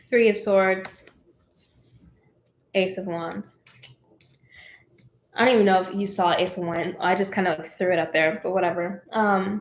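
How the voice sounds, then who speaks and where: A woman of medium pitch speaks at a moderate pace with fairly even intonation. Her speech has long, frequent pauses. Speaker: tarot reader. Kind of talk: live tarot reading. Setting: live stream. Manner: casual.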